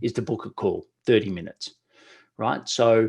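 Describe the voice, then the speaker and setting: This man has an unremarkable speaking voice, medium in pitch, with ordinary pitch variation. He talks at a moderate pace over a quiet background. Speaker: webinar presenter, LinkedIn outreach consultant. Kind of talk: webinar presentation. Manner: casual, conversational.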